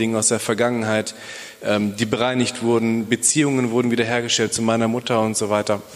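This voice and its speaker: The speech has a monotone, flat intonation, with noticeable background noise behind it. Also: man. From Bielefeld, Germany. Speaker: police officer and church planter. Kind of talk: testimony. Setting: church.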